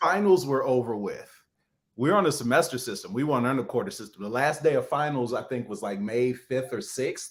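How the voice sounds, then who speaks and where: With an American accent, a man at a medium pitch speaks at a fairly quick pace and with lively intonation, in a very clean recording with a silent background. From Chicago, South Side. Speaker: author, speaker and actor. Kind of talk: interview answer. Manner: casual, conversational.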